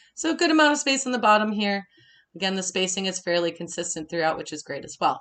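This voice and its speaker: A woman talks very fast and animatedly in a Minnesota accent. Her medium pitch swings very widely, and her loudness shifts a great deal. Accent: Minnesotan. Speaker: design instructor. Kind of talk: webinar tutorial. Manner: casual, animated.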